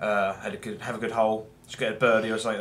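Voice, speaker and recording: A man with an English accent speaks at a very fast pace in a fairly low pitch. Audible room echo and noticeable background noise come through. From England. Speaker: gameplay commentator. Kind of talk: gameplay commentary. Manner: rambling with many fillers.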